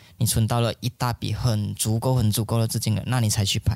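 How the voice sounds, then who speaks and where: Dry and close with no echo, a man's medium-pitched voice holds a fairly even intonation. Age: 30s. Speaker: film director. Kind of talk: interview. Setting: film festival venue.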